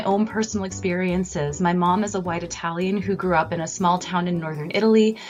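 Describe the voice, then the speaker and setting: Over noticeable background noise, a woman with a General American accent talks at a fairly quick pace with hardly any pauses. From California. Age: 30s. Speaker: professor. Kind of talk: radio interview. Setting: radio broadcast.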